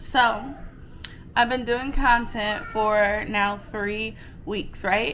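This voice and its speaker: Amid audible room echo, a woman with a fairly high pitch speaks at a very slow pace, with big swings in loudness and long, frequent pauses. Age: 30s. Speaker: vlogger. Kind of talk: casual chat.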